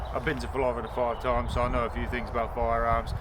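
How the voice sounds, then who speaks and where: A man talks at a fairly quick pace amid audible room echo and noticeable background noise. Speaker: youtuber testing crossbows. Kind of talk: casual outdoor vlog. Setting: outdoors. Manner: loud; rambling with hesitations. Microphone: no microphone, camera audio.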